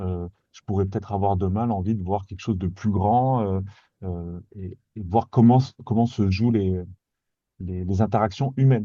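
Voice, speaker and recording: The voice has a dark, mellow tone and fairly even intonation at a moderate pace. The background is quiet. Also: man. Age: 40s. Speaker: guest on careers podcast, former medical machine operator. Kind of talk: casual interview chat. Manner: halting, many repetitions and hesitations.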